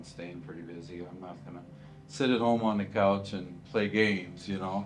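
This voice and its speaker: Over music in the background, a man with an American accent speaks at a moderate pace with ordinary pitch variation and audible room echo. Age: 60s. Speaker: retiring school teacher. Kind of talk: interview.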